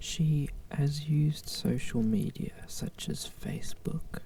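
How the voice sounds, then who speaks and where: The speaker whispers at a very slow pace. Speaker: ASMR channel host. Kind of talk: ASMR Wikipedia reading. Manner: whispered, soft-spoken.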